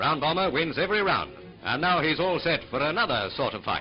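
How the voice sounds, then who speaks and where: With music in the background, a man speaks at a fairly quick pace. His pitch is fairly high and his intonation lively. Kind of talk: newsreel narration. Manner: witty, punning.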